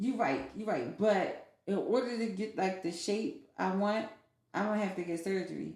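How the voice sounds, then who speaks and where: A woman talks at a moderate pace and a medium pitch, with lively intonation. Vocal fry runs through her voice. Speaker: podcast guest, formerly incarcerated. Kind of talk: casual podcast conversation.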